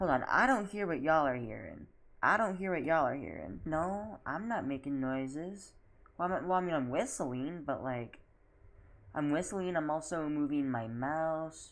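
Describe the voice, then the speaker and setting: Audible room echo surrounds a woman with a very deep, low voice. She speaks at a moderate pace with lively intonation. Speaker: video game streamer. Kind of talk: casual live stream commentary. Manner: loud; animated. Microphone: microphone picks up voice poorly on streams.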